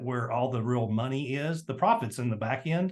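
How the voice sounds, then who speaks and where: A man with a Tennessee accent speaks at a medium pitch, his pitch varying in an ordinary way. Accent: Southern US (Tennessee). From US South, Tennessee. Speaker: entrepreneur and marketing guest. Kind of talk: interview. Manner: fast; animated.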